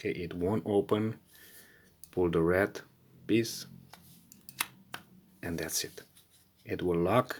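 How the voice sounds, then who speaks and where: Speaking at a very slow pace, a woman with a non-native accent uses a very deep, low pitch that varies in an ordinary way. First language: not English. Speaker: car repair video maker. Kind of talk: tutorial. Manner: halting.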